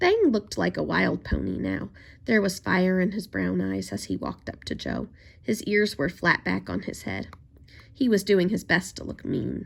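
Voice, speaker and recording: A raspy, put-on character voice moves at a moderate pace in a very clean recording with a silent background. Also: woman, very deep, low pitch for a woman. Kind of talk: children's story reading. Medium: read story. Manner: gentle, measured.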